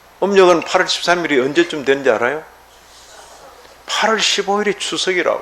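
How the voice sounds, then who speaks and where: Over noticeable background noise, a man talks at a fairly slow pace. His high voice makes very wide pitch swings. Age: 70s. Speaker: pastor. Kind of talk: sermon. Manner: conversational, rhetorical questions.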